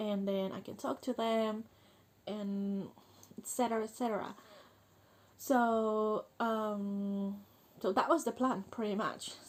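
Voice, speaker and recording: A woman with a fairly high pitch and fairly even intonation speaks at a very slow pace, leaving long, frequent pauses. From Chile. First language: Spanish. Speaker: vlogger. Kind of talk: personal vlog monologue. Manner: halting, many fillers.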